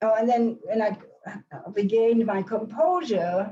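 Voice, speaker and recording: Somewhat breathy and dark, mellow in tone, a woman with a fairly high pitch speaks at a very slow pace. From Germany, Hamburg. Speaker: Holocaust survivor and author. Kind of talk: question and answer after lecture. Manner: halting, many restarts.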